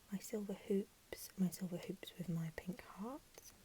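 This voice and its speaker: A woman whispers, soft-spoken and somewhat breathy. Her tone is gentle and her pace fairly slow. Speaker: ASMR creator. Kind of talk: ASMR room tour ramble. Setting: lo-fi Apple mic recording. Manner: soft-spoken, gentle, whispery.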